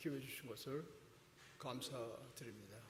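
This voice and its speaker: In a room with audible echo, a man speaks at a fairly slow pace with a medium pitch and monotone, flat intonation. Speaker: guest preacher. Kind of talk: sermon. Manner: deliberately slow.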